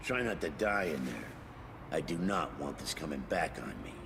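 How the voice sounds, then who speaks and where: Over loud background noise, a man does a gruff put-on character voice, very deep and low, at a moderate pace. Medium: video game. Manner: rude, gruff, blustering.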